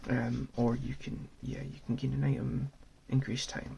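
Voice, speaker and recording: Whispering, a soft-spoken man talks at a moderate pace. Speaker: ASMR channel host and board gamer. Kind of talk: whispered ASMR board game overview and gameplay. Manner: whispered, soft-spoken.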